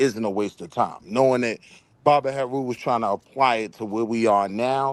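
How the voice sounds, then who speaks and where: An ordinary speaking voice with an American accent carries ordinary pitch variation. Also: man. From Harlem, New York. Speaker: debate show host. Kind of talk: panel discussion. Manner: casual.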